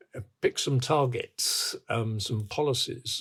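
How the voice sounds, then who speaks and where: This is a man speaking. He has a British accent. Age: 80s+. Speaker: infrastructure expert. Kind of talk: interview. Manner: halting.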